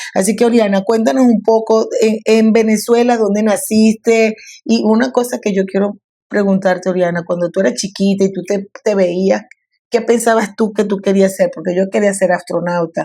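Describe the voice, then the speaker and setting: A woman's medium-pitched voice, dark and mellow in tone, at a moderate pace with fairly even intonation, in a very clean recording with a silent background. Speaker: coffee educator and podcast host. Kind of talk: casual interview conversation.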